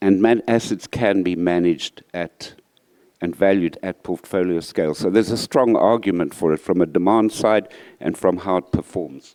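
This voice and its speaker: Mumbling at a moderate pace, a man with a very deep, dark and mellow voice speaks with ordinary pitch variation in a dry, close sound with no echo. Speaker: real estate finance panelist. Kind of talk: panel discussion.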